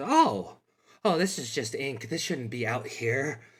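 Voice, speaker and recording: The clip features a put-on character voice at a low-to-middle pitch. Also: fairly slow pace. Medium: actual play. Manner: creepy, fawning.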